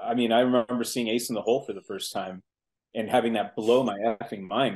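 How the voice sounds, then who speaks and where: In a normal speaking voice, a man talks at a fairly quick pace with ordinary pitch variation over a quiet background. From US Pacific Northwest (Seattle), born in Mexico City. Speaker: film director. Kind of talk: casual chat.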